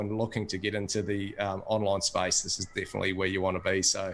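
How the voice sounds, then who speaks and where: This man speaks with an Australian accent at a fairly quick pace. His pitch sits fairly low. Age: 40s. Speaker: course member giving testimonial. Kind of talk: testimony.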